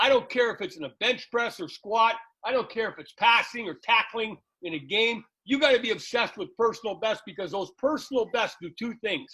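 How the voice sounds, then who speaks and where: Here a man with a high pitch speaks in a raised, projected voice at a fairly quick pace, his tone bright, sharp and energetic. His loudness swings widely while his pitch varies in an ordinary way. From Canada. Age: 60s. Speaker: football coach and podcast host. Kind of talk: interview.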